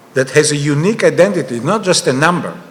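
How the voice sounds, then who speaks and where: Amid noticeable background noise, a man with a fairly high pitch speaks with an Israeli accent. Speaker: panelist, author on digital money. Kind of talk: panel discussion.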